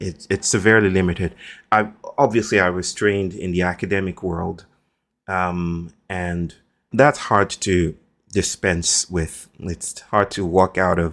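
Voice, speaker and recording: A man with a Nigerian accent speaks at a fairly slow pace in a very deep, low voice. The recording is very clean, with a silent background. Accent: Nigerian (Yoruba) English. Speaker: philosopher and author. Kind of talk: podcast interview. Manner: formal, elaborate diction.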